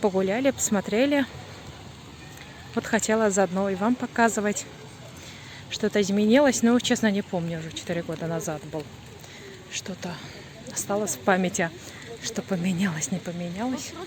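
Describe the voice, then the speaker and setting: With noticeable background noise, a woman speaks at a moderate pace and medium pitch, using lively intonation and long, frequent pauses. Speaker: vlogger. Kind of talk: casual vlog narration. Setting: outdoors.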